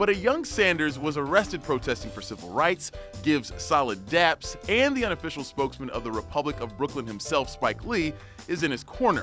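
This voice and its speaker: Music plays behind a man with a fairly high pitch. He talks at a fairly quick pace, his pitch swinging very widely. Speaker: news reporter. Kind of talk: news explainer narration.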